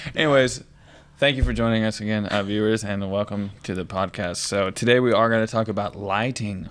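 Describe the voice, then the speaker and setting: A man mumbles at a fairly quick pace. His voice sits fairly low, with fairly even intonation. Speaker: podcast co-host. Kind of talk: casual chat. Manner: mumbling.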